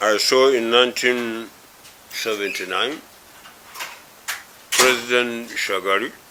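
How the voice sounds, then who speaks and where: Amid noticeable background noise and audible room echo, a man speaks at medium pitch and a very slow pace. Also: long, frequent pauses. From Nigeria. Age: 80s+. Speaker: elder statesman. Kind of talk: interview. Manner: hesitant, many fillers.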